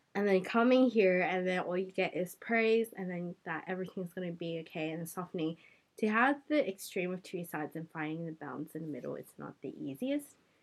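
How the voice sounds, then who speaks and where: Talking at a fairly quick pace with hardly any pauses, a woman with an Australian accent uses lively intonation and big swings in loudness at a medium pitch. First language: Cantonese. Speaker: podcast host. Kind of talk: casual chat.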